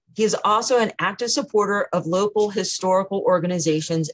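A normal speaking voice, a woman at medium pitch with ordinary pitch variation and a fairly quick pace. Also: hardly any pauses. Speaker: historical society emcee and webinar host. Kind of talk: event hosting and moderating Q&A. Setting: video call webinar.

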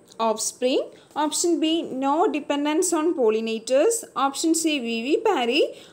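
A woman's high voice swings very widely in pitch. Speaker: exam prep tutor. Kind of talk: tutorial.

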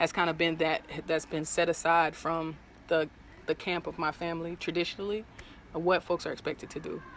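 The speech moves at a moderate pace with light background noise. The sound is dry, with no echo. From US South, Jacksonville, Florida; Florida. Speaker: interviewee at community gathering; interviewee. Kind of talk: street interview. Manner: casual, filler-heavy. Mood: reflective, personal.

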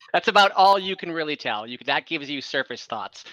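This man talks at a fairly quick pace with lively intonation. His voice sits fairly high, with a bright, sharp tone.

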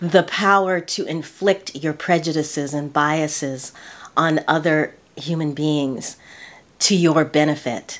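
A woman's very deep, low voice at a very slow pace, with fairly even intonation. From United States. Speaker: lifestyle YouTuber. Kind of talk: casual talk to camera. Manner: earnest, reflective. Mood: earnest, reflective. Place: home room.

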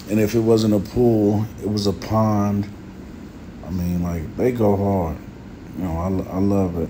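Amid noticeable background noise and audible room echo, a man speaks at a fairly low pitch with fairly even intonation, a fairly slow pace and long, frequent pauses. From United States. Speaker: YouTuber. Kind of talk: voiceover narration. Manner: casual.

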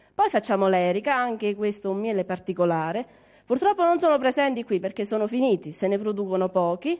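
Against a quiet background, the voice moves at a very fast pace. Its intonation is lively. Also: woman, medium pitch for a woman. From Cilento, Salerno province; Salerno province, Italy. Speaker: beekeeper. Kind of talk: interview. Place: home room. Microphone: handheld.

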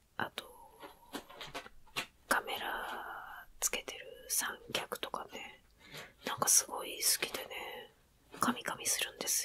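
Whispering comes very slowly, broken by long, frequent pauses. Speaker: ASMR creator. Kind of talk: ASMR whispered casual talk. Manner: whispered. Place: home room. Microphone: phone near.

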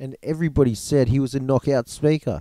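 A dark, mellow male voice with an Australian accent, dry and close with no echo, on a very clean recording with a silent background. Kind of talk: audiobook reading.

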